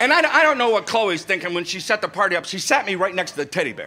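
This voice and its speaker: A man with a high pitch speaks very fast in a raised, projected voice with lively intonation over noticeable background noise. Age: 60s. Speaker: comedian. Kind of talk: stand-up. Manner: animated storytelling.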